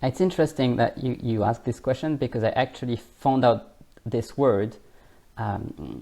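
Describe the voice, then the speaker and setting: A man with a French accent speaks at a medium pitch and a moderate pace, with ordinary pitch variation. His tone is dark and mellow, touched with vocal fry. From France. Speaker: language coach. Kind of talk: interview. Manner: hesitant, filler-heavy.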